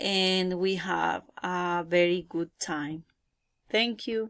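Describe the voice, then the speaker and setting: A woman speaks very slowly with a Colombian accent, her medium pitch showing ordinary variation, on a very clean recording with a silent background. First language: Spanish. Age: 20s. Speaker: English learner. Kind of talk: self-introduction practice. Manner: halting.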